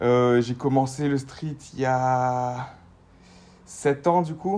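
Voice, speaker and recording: A man's very slow pace and dark, mellow tone, with ordinary pitch variation. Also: medium pitch for a man. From Guadeloupe. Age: 20s. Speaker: street workout athlete. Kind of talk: casual interview. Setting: remote call from bed.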